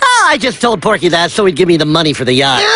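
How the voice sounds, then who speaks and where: In a cartoonish character voice, the speaker rattles along at a very fast pace and a middle pitch. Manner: glib, self-justifying.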